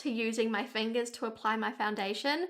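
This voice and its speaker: The speaker is a woman with a New Zealand accent. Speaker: beauty vlogger. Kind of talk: casual talk-to-camera advice.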